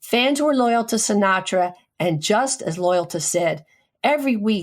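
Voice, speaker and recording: With an ordinary speaking voice, a woman talks at a moderate pace, medium in pitch and lively in intonation. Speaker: radio show host, physician. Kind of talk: radio tribute segment.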